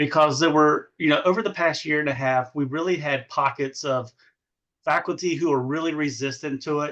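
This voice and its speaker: Against a quiet background, a man with an Eastern North Carolina accent speaks at a moderate pace, his fairly high pitch carrying fairly even intonation. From US South, eastern North Carolina. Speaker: education administrator. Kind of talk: podcast interview. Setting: podcast.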